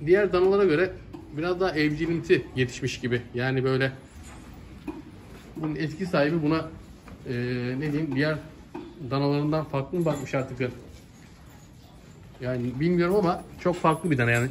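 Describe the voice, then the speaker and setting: A man at a moderate pace, with ordinary pitch variation, long and frequent pauses, and light background noise. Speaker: livestock seller. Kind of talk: casual vlog chat. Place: farm machine. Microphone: phone near.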